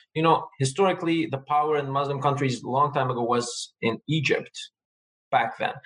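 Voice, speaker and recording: Fairly even intonation marks this man's speech, pitched fairly high. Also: moderate pace. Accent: Armenian. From Lebanon, Armenian family. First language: Armenian. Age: young. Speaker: community advocate. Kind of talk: casual chat.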